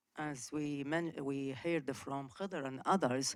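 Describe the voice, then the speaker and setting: In a very clean recording with a silent background, a woman with an Arabic accent speaks at a very slow pace in a very deep, low pitch. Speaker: audience member. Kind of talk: conference Q&A question. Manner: halting.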